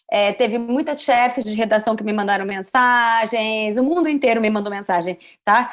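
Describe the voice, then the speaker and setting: At a moderate pace, a woman speaks in an animated tone with ordinary pitch variation over a quiet background. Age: 30s. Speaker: journalist. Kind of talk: podcast interview.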